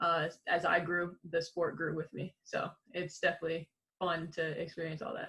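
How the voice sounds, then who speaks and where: Speaking at a moderate pace, a woman with an American accent has a bright, sharp tone and fairly low pitch. Her intonation is monotone and flat. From Illinois, Chicago area. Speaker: professional basketball player. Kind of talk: podcast interview. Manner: casual.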